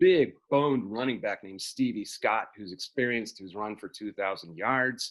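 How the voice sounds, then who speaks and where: A man at a medium pitch and a moderate pace. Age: 60s. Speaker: sports columnist. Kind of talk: casual chat. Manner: halting.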